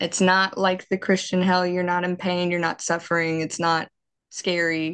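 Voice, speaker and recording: A woman speaks in a strong Southern US accent. The background is quiet. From US South, Mississippi. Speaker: paranormal investigator. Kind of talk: interview.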